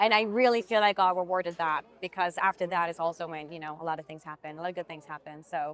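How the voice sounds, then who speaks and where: A woman at medium pitch speaks very fast with a slight Swiss accent. The sound is dry and close, with no echo. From Switzerland. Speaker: actress. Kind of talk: interview conversation.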